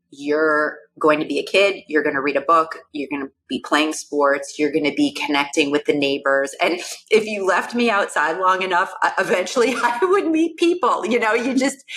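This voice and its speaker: Music plays behind a woman who speaks at a moderate pace with a medium pitch and very wide pitch swings. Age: 50s. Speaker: neuroscientist. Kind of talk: casual chat.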